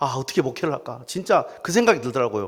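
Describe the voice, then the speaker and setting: A man's medium-pitched voice, very fast and with lively intonation. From South Jeolla, Korea. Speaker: pastor. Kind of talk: sermon. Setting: church. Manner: animated storytelling.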